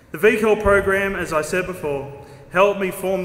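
A man at a moderate pace, with audible room echo. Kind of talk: formal speech. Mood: proud, lightly humorous. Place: hall. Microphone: podium.

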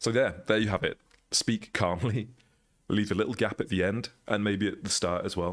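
In a very clean recording with a silent background, a man uses a normal speaking voice at a fairly low pitch, with fairly even intonation, very even loudness and a moderate pace. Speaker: extension developer. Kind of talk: tutorial. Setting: screen recording. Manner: casual.

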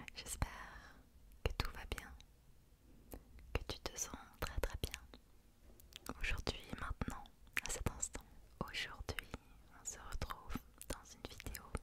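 A woman is whispering, going at a very slow pace and stopping for long, frequent pauses. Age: 20s. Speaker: ASMR creator. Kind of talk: ASMR relaxation roleplay. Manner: whispered, soft, slow. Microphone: studio mic.

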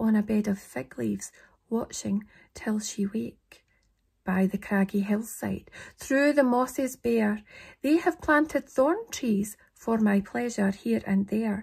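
Someone speaks very slowly in a Scottish accent, somewhat breathy. The background is quiet. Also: woman, fairly high pitch for a woman. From Scotland. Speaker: poetry reader. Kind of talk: poetry reading. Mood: calm, slightly eerie. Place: home room. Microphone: phone near.

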